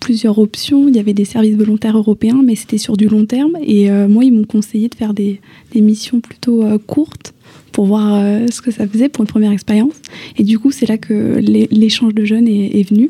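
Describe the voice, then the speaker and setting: Against noticeable background noise, a woman talks at a fairly quick pace with long, frequent pauses, her fairly high pitch held in fairly even intonation. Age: 20s. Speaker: young traveller. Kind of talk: radio interview.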